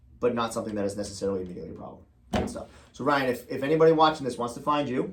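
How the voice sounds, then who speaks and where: Amid audible room echo, a man with a medium-pitched voice speaks at a very fast pace, with lively intonation and big swings in loudness. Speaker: real estate agent. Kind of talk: casual chat.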